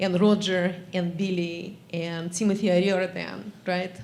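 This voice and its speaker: Audible room echo surrounds a woman with a Russian accent and a medium pitch. She speaks at a fairly slow pace in a monotone, flat intonation. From Russia (former Soviet Union). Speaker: geography academic. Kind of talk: audience remarks at memorial session.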